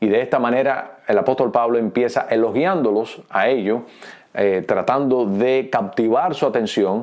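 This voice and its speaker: Speaking at a moderate pace, this man has a Cuban accent. His pitch is medium. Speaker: pastor. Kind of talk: teaching talk. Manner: hesitant fillers.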